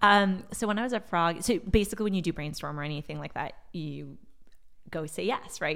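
Talking at a fairly quick pace with a General American accent, a woman uses a fairly low voice, vocal fry and ordinary pitch variation on a very clean recording with a silent background. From Silicon Valley, California. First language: Portuguese. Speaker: marketing executive. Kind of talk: casual interview.

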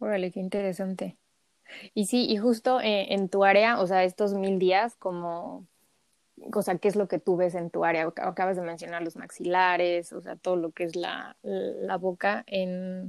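In a very clean, dry, close recording with a silent background and no echo, a woman uses an ordinary speaking voice at a medium pitch, fairly slow pace and fairly even intonation. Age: 30s. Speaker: podcast host, holistic health coach. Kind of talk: casual interview.

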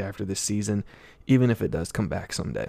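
In a very clean recording with a silent background, a man talks with a fairly low pitch, vocal fry and ordinary pitch variation. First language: not English. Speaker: sports podcast host. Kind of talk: solo podcast monologue. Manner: halting, frequent fillers.

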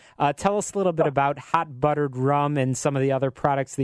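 A man speaks fairly quickly in a plain, everyday voice with an American accent. His pitch is fairly high, and the background is quiet. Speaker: radio business show host. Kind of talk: live radio interview show. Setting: radio studio. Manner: promotional, upbeat.

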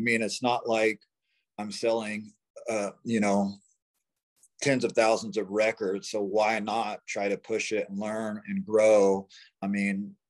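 Here a man talks at a fairly slow pace in a fairly low pitch with monotone, flat intonation. He leaves long, frequent pauses. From US, small-town Oklahoma. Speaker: singer-songwriter, band frontperson. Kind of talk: casual interview chat. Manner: hesitant, many fillers.

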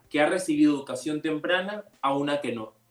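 This man's voice sits at a fairly high pitch. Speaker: youth panel moderator. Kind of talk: radio panel discussion. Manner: halting, repeats words.

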